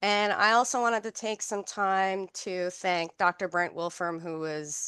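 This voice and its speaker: Ordinary pitch variation in a Newfoundland accent, against a quiet background. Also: woman. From Newfoundland, Canada. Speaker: health researcher and occupational therapist. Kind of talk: research seminar talk. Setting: seminar room with online audience.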